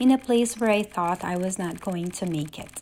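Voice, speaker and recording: Noticeable background noise surrounds a woman speaking at medium pitch. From Philippines. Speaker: immigrant storyteller. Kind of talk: personal speech.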